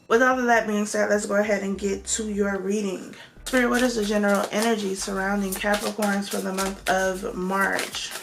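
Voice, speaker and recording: Medium-pitched and monotone, a woman speaks with flat intonation at a moderate pace. The recording has audible room echo and noticeable background noise. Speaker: tarot reader. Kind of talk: tarot reading monologue. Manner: casual, conversational.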